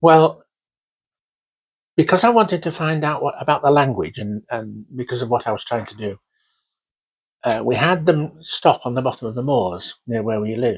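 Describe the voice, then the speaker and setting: A man with a Yorkshire accent talks at a moderate pace in a medium pitch, his lively intonation paired with big swings in loudness and long, frequent pauses. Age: 80s+. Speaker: oral history interviewee. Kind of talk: oral history interview.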